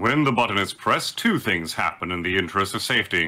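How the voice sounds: A man's put-on character voice, low in pitch, bright and sharp in tone, with lively intonation and a fairly quick pace.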